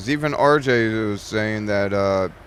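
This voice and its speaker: A man's rather low voice comes through with clear background noise behind it. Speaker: gaming video creator. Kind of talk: casual gameplay commentary. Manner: loud; hesitant, many fillers. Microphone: new mic, voice picked up too quietly.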